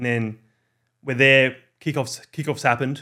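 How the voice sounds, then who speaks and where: The speaker has an Australian accent and a moderate pace. The recording is very clean, with a silent background. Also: man. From Australia, Orange NSW. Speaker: football content creator. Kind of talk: casual chat.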